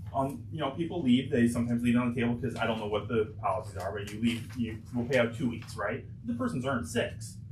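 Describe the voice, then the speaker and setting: With music in the background and audible room echo, a man of medium pitch speaks at a very fast pace, with hardly any pauses and fairly even intonation. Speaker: auditor presenting financial statements. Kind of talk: board meeting presentation. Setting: public board meeting.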